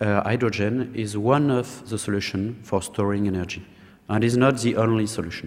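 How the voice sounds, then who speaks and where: A man speaks with a French accent. His pitch is medium, with ordinary pitch variation. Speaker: government program director. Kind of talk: conference talk. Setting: conference panel with audience.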